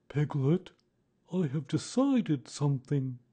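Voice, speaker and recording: A put-on character voice at low-to-middle pitch, fairly slow, over a quiet background. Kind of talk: serious, secretive. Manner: very solemn.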